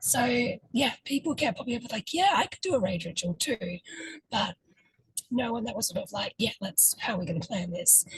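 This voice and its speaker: Pitched fairly high and somewhat breathy, a woman talks at a fairly quick pace with very wide pitch swings and long, frequent pauses. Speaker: ritual facilitator. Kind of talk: interview. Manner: hesitant, many fillers.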